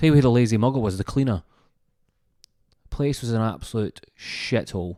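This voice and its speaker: An animated man with a Scottish accent, medium pitch and ordinary pitch variation, in a very clean recording with a silent background. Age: 30s. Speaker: comedian. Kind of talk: comedic storytelling podcast monologue.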